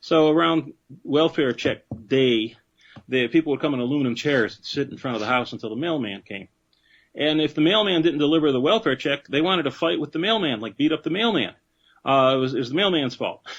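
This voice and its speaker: This man speaks with an American accent and lively intonation. His pitch is fairly high and his pace fairly quick. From Detroit, US Midwest. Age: 60s. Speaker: professor. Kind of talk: interview. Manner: halting.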